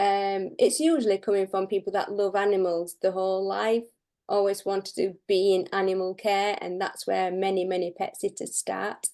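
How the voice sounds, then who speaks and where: In a Yorkshire accent, a woman speaks at medium pitch with fairly even intonation. Her tone is dark and mellow, and the background is quiet. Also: moderate pace. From northern England (Barnsley, Yorkshire). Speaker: pet and house sitter. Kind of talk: interview.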